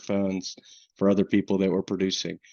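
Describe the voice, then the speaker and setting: A man with a Southern US accent, fairly low in pitch, at a fairly quick pace. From US South, coastal North Carolina. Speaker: insurance underwriting manager. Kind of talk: webinar presentation. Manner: casual, many fillers.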